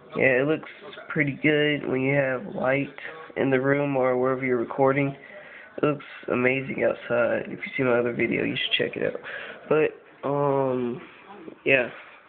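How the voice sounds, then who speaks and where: Long, frequent pauses over noticeable background noise. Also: moderate pace. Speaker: phone video tester. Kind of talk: casual video demo. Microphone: phone microphone.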